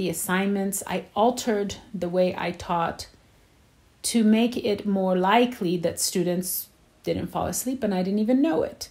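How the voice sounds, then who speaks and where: The woman's voice is somewhat breathy. She talks fairly slowly. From Poland. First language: Polish. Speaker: teacher. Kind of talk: interview.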